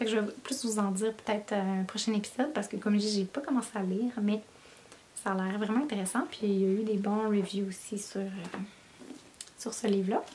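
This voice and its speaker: A woman in a Quebec accent talks at a fairly quick pace and a medium pitch, with fairly even intonation. Her long pauses come often, over noticeable background noise. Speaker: knitting podcaster. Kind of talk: casual chat. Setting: home basement office.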